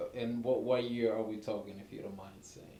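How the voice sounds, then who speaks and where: Speaking at a moderate pace and medium pitch with fairly even intonation, a man is heard amid noticeable background noise and audible room echo. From abroad, moved to New York at 15. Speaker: interviewer. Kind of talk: interview. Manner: halting.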